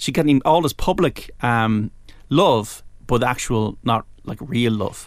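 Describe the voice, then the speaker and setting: An Irish-accented man at a medium pitch and fairly slow pace, with lively intonation, in a very clean recording with a silent background. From Ireland. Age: 40s. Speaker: sports radio presenter. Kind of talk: casual chat. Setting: studio. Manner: halting.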